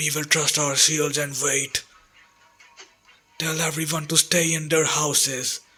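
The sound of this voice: Using a raspy put-on character voice, a man speaks at a fairly slow pace with a fairly high pitch. His intonation is monotone and flat, with faint music in the background.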